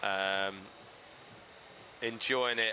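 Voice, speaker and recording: A man talks with an Essex accent. His tone is bright and sharp. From Essex, England. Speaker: live stream host. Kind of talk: live event commentary and chat. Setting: outdoor skatepark event. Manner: halting, filler-heavy.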